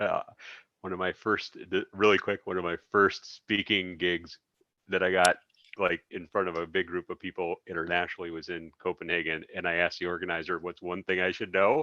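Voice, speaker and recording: Over a quiet background, a man with an American accent talks at a fairly quick pace in a very deep, low pitch, his tone bright and sharp and his intonation monotone and flat. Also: dry, close sound with no echo. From US Midwest, suburban Chicago. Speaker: podcast host. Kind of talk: interview.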